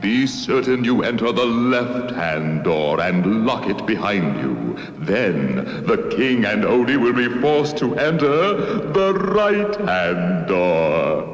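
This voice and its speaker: Using a cartoonish character voice, a man talks at a fairly slow pace and a medium pitch. A clear echo is present. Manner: gloating, theatrical.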